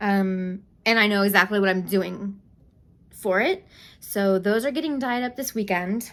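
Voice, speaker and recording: A normal speaking voice from a woman, medium in pitch with ordinary pitch variation at a moderate pace, on a very clean recording with a silent background. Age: 40s. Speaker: yarn dyer and knitting channel host. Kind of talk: casual vlog chat.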